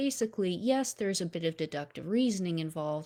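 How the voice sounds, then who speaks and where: The voice carries a dark, mellow tone. Its intonation is lively. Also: woman. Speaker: science educator. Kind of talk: lecture. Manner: casual.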